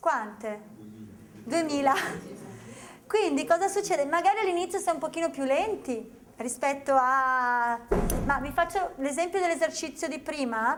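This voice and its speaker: Amid noticeable background noise, a woman in a Venetian accent talks at a moderate pace, animated in tone with ordinary pitch variation. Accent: Veneto. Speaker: memory technique trainer. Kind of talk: seminar presentation to an audience. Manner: animated, conversational.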